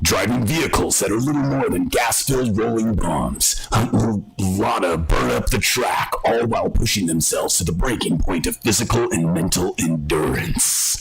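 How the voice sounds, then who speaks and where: Over faint background music, a man talks at a moderate pace in a put-on character voice. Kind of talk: announcer-like. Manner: dramatic, booming.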